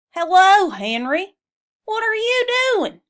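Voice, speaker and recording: A woman's put-on character voice, extremely high-pitched and squeaky, raised and projected, at a fairly slow pace. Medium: read story.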